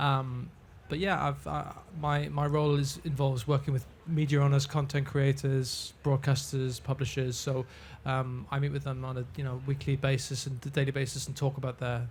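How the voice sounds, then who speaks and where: A man's fairly high, somewhat breathy voice in a British accent, moderate in pace and monotone, with flat intonation. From UK. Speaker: ad tech executive. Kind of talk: panel discussion.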